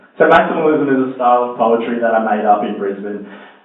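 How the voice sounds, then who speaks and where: A man talks fairly quickly while noticeable background noise runs behind him. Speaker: performance poet. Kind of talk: casual talk to live audience. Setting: live venue, audience.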